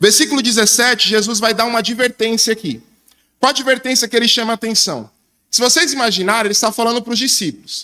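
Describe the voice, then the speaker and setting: A man's extremely high, bright, sharp voice, raised and projected, at a very fast pace. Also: fairly even intonation. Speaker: preacher. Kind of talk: sermon.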